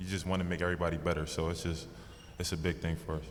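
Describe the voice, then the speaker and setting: Very fast and fairly even in intonation, a man speaks with a very deep, low pitch as the room echoes audibly. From US Northeast (New York/New Jersey area). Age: 20s. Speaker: basketball rookie. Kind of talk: press conference.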